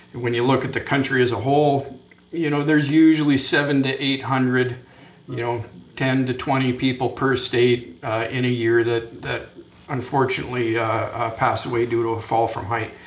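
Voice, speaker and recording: A man speaks at a moderate pace with a medium pitch and fairly even intonation. Noticeable background noise and audible room echo are present. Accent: Canadian. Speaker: fall protection safety trainer. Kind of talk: conference presentation. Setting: conference session.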